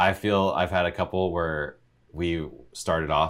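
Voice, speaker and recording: A man at a fairly slow pace. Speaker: podcast host. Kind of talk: casual chat, interview.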